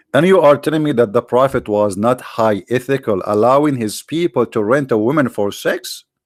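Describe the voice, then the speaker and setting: Speaking with an Arabic accent, a man keeps a medium pitch with ordinary pitch variation and hardly any pauses. The recording is very clean, with a silent background. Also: moderate pace. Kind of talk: sarcastic religious polemic commentary. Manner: animated, sarcastic.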